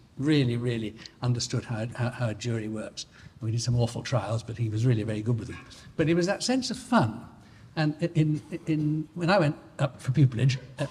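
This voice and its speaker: Somewhat breathy and fairly quick, a man with a Northern English accent talks at a medium pitch with ordinary pitch variation. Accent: general Northern English. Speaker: barrister. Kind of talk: anecdote at an anniversary dinner. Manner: halting, many repetitions and false starts.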